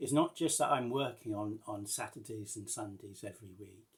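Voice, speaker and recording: Here is a man with a somewhat breathy voice at medium pitch. He uses ordinary pitch variation and a moderate pace. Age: 60s. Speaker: vlogger. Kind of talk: casual vlog update. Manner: halting, many fillers and restarts.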